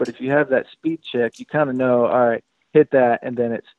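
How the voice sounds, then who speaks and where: Using a normal speaking voice, a man at a medium pitch talks at a fairly quick pace with fairly even intonation. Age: 30s. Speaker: professional motocross racer. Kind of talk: casual chat. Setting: phone call.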